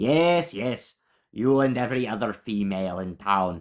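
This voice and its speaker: A gruff, put-on character voice at a moderate pace, on a very clean recording with a silent background. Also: man, medium pitch for a man. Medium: read story. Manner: gruff, grumbling.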